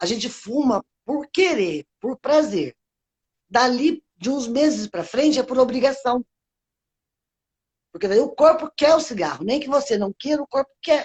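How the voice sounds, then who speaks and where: With a high pitch and lively intonation, a woman talks at a fairly slow pace. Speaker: ex-smoker. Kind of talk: interview.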